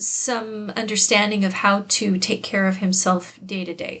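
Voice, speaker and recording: A woman at medium pitch speaks at a fairly slow pace, somewhat breathy, with fairly even intonation. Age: 60s. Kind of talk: casual vlog talk to camera. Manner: hesitant, with fillers and repeated words.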